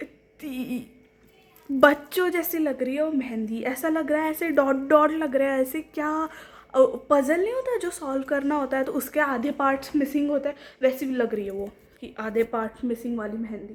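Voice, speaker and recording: A high-pitched woman with a Marathi accent and ordinary pitch variation. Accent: non-fluent Hindi, Marathi speaker. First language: Marathi (speaking Hindi). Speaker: vlogger. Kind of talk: casual vlog talk to camera.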